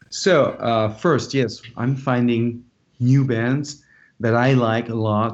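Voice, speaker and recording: Very slow speech in a French accent, with fairly even intonation and very even loudness. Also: man, medium pitch for a man. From France, Dijon. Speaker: rock musician. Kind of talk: interview.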